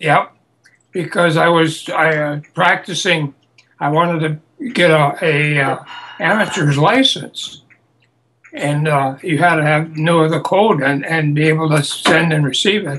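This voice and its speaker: With an American accent, a man speaks fairly slowly in a fairly high pitch, his tone bright and sharp and his intonation fairly even. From US Midwest, Wisconsin. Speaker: war veteran. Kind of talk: oral history interview. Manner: halting.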